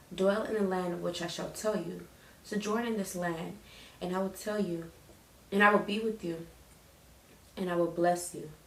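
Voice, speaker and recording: With audible room echo and noticeable background noise, a woman speaks at medium pitch and a moderate pace. Her intonation is fairly even, and her pauses are long and frequent. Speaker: Bible reading vlogger. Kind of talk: casual chat; reading aloud. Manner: halting, stutters and repeats while reading.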